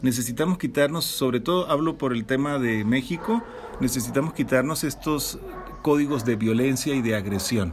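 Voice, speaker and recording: A man of medium pitch talks at a moderate pace with ordinary pitch variation, amid noticeable background noise. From Venezuela. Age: 40s. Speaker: podcast co-host. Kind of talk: casual chat.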